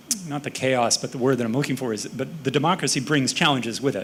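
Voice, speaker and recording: Noticeable background noise sits behind this recording. A man talks at a very fast pace with an American accent. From United States. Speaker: panelist. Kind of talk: panel discussion.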